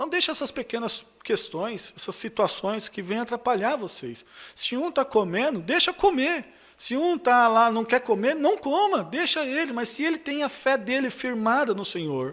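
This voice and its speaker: Lively intonation at a moderate pace. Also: man, extremely high pitch for a man. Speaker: pastor. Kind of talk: sermon. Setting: church.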